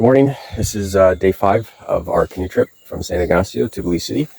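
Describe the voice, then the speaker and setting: A raspy, put-on character voice moves at a fairly quick pace. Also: man, fairly low pitch for a man. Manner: stumbling over words.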